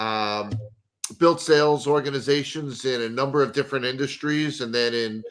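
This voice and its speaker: At a fairly slow pace, a man speaks at a medium pitch with ordinary pitch variation. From New York and New Jersey. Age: 50s. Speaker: sales consultant. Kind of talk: podcast interview.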